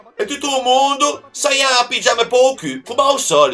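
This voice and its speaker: With music in the background, a man in a Genoese accent uses a raised, projected voice at an extremely high pitch, speaking at a moderate pace with ordinary pitch variation. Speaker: comedian. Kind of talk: comic dialect lesson to camera.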